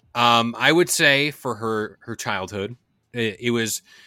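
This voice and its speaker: An ordinary speaking voice from a man at medium pitch, with ordinary pitch variation, in a very clean recording with a silent background. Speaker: podcast host. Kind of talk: casual podcast chat. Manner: joking, banter.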